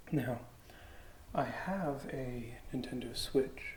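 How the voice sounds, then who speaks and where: The voice is soft-spoken with a relaxed tone. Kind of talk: ASMR unboxing, rambly casual talk. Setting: lo-fi ASMR microphone recording. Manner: soft-spoken, relaxed, rambling.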